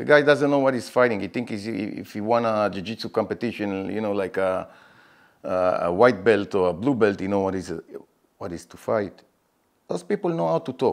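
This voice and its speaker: Speaking at a moderate pace with an Israeli accent, a man with a fairly low pitch shows ordinary pitch variation and big swings in loudness. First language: Hebrew. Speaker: MMA fighter. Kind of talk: interview. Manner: halting; animated.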